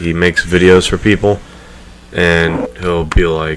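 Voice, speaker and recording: Over noticeable background noise, a man talks in a very deep, low voice with ordinary pitch variation. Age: 20s. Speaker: podcast host and gamer YouTuber. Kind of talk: casual chat. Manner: soft-spoken.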